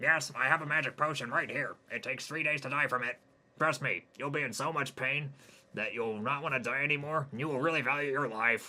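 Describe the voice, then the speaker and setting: A man puts on a character voice at a fairly quick pace. He raises and projects his voice. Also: fairly high pitch for a man. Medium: read story. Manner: condescending, mocking.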